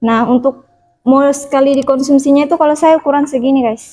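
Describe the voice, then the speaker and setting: At a moderate pace, a woman speaks in a high-pitched voice with a dark, mellow tone and fairly even intonation. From Central Sulawesi, Indonesia. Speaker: vlogger sharing health experience. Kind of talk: casual vlog talk, product show-and-tell. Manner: hesitant with many fillers.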